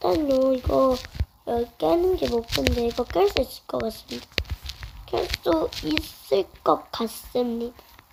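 Against noticeable background noise, a woman talks at a very slow pace with very wide pitch swings. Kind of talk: casual game commentary.

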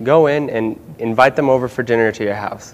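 A man with an American accent speaks at a medium pitch with fairly even intonation. His is an unremarkable speaking voice. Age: 30s. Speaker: refugee community member. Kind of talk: TV panel discussion.

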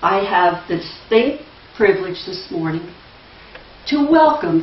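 A woman speaks at a fairly slow pace with very wide pitch swings. Room echo is audible. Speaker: church member introducing the speaker. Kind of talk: reading aloud. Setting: church. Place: church. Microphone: camera far.

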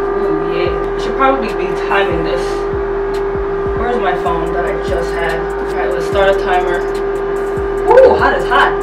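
A woman speaks fairly slowly while music plays in the background. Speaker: vlogger. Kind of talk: casual vlog chat. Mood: excited, reacting to heat. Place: home room.

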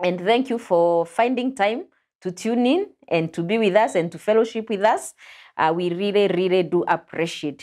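A woman talks at a moderate pace with ordinary pitch variation against a quiet background. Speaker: pastor and show host. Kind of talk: religious teaching discussion. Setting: studio. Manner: animated. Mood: warm, smiling, welcoming. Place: studio. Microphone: lapel.

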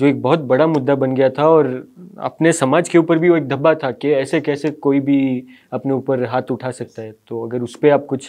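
A fairly high-pitched man at a moderate pace, fairly even intonation and a quiet background. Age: young. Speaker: interviewer. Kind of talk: interview. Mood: polite, respectful. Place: studio.

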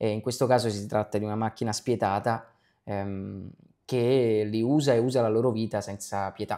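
A man's dark, mellow voice at a fairly low pitch, with fairly even intonation, a moderate pace and a quiet background. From Naples, Italy; Italy. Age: young. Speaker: actor. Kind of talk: interview. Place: home room. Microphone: lapel.

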